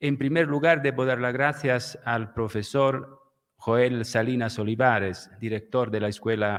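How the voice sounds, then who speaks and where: Speaking with an Italian accent at a fairly slow pace, a man keeps a medium pitch and fairly even intonation. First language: Italian (speaking Spanish). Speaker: law professor, lecturer. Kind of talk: lecture, read aloud. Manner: halting, with fillers.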